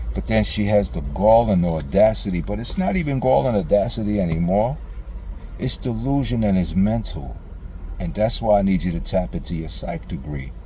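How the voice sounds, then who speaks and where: Over noticeable background noise and audible room echo, a man with a very deep, low pitch speaks in a passionate tone at a moderate pace with very wide pitch swings. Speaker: father addressing estranged daughter in video message. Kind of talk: emotional personal monologue. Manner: passionate, sometimes loud; repetitive stammering.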